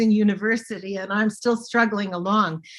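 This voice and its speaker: A woman with an unremarkable speaking voice and a Canadian accent talks at a moderate pace, her fairly high pitch held in fairly even intonation. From Manitoba, Canada (Winnipeg). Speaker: linguist, Cree literacy director. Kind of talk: Q&A answer.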